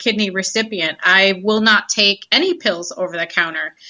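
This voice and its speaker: A plain, everyday voice from a woman in an American accent, medium in pitch, fairly quick, with fairly even intonation. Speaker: social media consultant. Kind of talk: casual interview.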